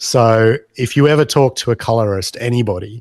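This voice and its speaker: A man speaks at medium pitch with an Australian accent and fairly even intonation. The sound is dry with no echo and the background is quiet. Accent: Australian, unchanged. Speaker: pinball mod maker; podcast guest. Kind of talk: podcast interview. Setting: video call. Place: home room. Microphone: video call.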